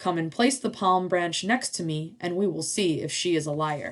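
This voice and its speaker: Pitched in the middle range, the voice is a put-on character voice. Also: moderate pace. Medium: read story.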